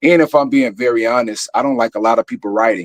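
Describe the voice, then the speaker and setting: In a very clean recording with a silent background and a dry, close sound with no echo, a man with a Chicago accent speaks with ordinary pitch variation. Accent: country-sounding Chicago speech. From Chicago, West Side (Austin). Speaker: actor and theater producer. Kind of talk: interview conversation. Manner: casual.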